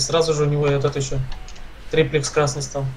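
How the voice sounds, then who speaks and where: With music in the background, a man talks at a fairly quick pace in a fairly high pitch. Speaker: gaming streamer. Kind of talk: casual gameplay chat.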